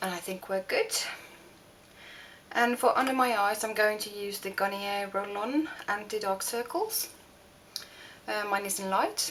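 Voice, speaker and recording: Speaking with a Norwegian accent at a fairly slow pace, a woman leaves long, frequent pauses over noticeable background noise. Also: medium pitch for a woman, ordinary pitch variation. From Norway. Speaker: beauty vlogger. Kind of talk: makeup tutorial. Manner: halting, many fillers.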